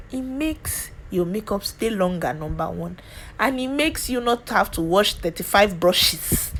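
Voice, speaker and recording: Animated in tone, a woman with a Nigerian accent speaks with very wide pitch swings. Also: medium pitch for a woman, moderate pace. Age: 20s. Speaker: beauty youtuber. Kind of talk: tutorial. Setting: home.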